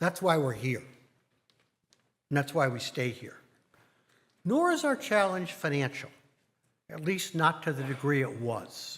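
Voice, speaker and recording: A man at a fairly high pitch with ordinary pitch variation, a fairly slow pace, and long, frequent pauses, in a very clean recording with a silent background. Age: 60s. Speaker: congregation board president. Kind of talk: speech to congregation. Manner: formal.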